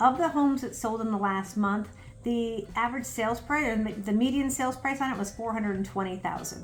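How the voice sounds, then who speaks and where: Ordinary pitch variation at a fairly quick pace, with noticeable background noise and audible room echo. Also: woman. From US Midwest, Chicago. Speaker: real estate agent. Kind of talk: market update presentation. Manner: fast.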